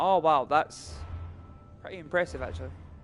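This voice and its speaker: Speaking at a fairly quick pace, a man with a Scottish accent uses lively intonation. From Scotland, near Paisley. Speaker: gaming live streamer. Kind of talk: casual chat.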